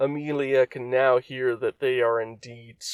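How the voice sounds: This is a natural reading voice. Nothing else stands out.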